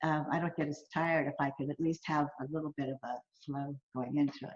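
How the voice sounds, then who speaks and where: At a very fast pace, a woman speaks with a very deep, low pitch in a dry, close sound with no echo. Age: 60s. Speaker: pole sports athlete. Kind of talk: interview. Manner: animated.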